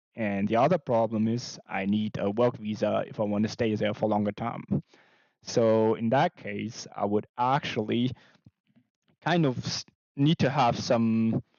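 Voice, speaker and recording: Speaking at a fairly slow pace with a German accent, a man keeps a medium pitch and ordinary pitch variation. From Germany. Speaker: artist and animation streamer. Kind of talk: casual live stream chat. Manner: quiet, held back.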